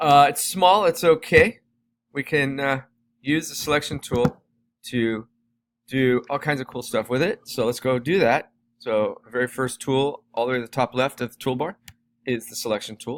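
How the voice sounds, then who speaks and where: A man with a plain, everyday voice and a fairly high pitch speaks at a moderate pace with big swings in loudness, in a dry, close sound with no echo. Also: ordinary pitch variation. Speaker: teacher. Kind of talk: tutorial.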